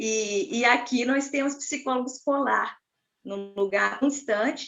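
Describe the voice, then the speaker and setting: A woman speaking at a fairly slow pace. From inland Rio de Janeiro state, Brazil. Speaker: school psychologist. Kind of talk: panel discussion.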